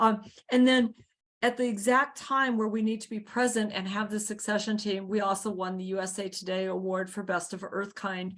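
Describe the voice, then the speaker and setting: A woman with an ordinary speaking voice talks at medium pitch and a moderate pace, with fairly even intonation over a quiet background. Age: 60s. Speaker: community garden founder. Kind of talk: video call interview.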